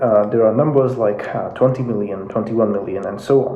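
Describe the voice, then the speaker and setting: Speaking with a Russian accent, a man is heard through noticeable background noise and audible room echo. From Russia (Moscow), Indian family. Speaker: YouTube commentator on geopolitics. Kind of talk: casual explainer video. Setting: home office. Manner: hesitant, many fillers.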